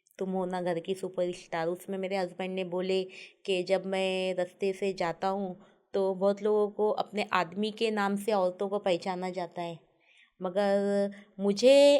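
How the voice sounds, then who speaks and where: This woman talks at a fairly slow pace, her medium-pitched voice dark and mellow in tone. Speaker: food video creator. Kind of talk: interview.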